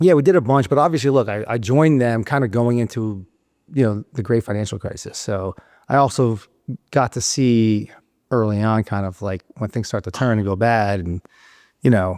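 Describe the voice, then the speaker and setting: In a very clean recording with a silent background, a man with a New York accent talks with ordinary pitch variation. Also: medium pitch for a man, moderate pace. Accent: New York City. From South Florida. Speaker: real estate investor. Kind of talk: podcast interview answer.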